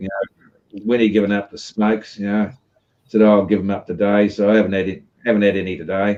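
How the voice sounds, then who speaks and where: A man speaks at a very fast pace in a dark, mellow tone. His intonation is monotone and flat. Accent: Australian. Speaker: live stream host. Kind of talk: casual chat. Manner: rambling filler-heavy.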